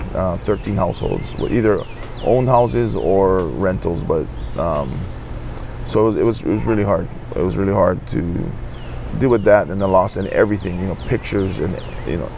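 Music plays behind a man speaking at a moderate pace and a fairly low pitch, with lively intonation. He leaves long, frequent pauses, and the sound is dry with no echo. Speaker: interviewee. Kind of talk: interview answer. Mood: somber, reflective. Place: street. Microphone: lapel.

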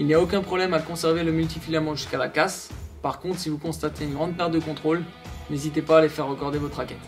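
With clear music playing behind him, a man talks at a very fast pace in a monotone, flat delivery. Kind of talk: tutorial. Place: studio.

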